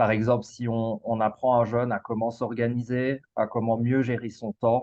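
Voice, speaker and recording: Monotone, flat delivery from a man of medium pitch with a Belgian accent. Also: moderate pace. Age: 30s. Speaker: school coach. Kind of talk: casual interview. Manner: halting, frequent repetitions and fillers.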